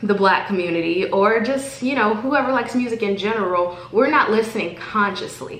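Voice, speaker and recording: At a moderate pace, a woman speaks in a room with audible echo. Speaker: vlogger. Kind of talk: motivational vlog monologue. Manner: halting.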